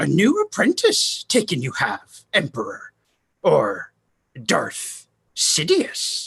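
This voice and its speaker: At a very slow pace, the speaker performs in a put-on character voice. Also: man, dry, close sound with no echo. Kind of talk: Shakespearean verse drama. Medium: audio drama. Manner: inverted word order, dry.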